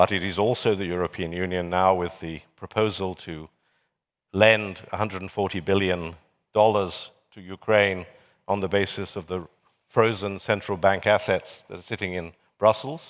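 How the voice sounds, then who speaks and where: With a British accent, a man speaks at a moderate pace in a very deep, low pitch and fairly even intonation. His loudness swings widely, and the recording is very clean with a silent background. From Britain. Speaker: journalist and commentator on a panel. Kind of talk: panel discussion.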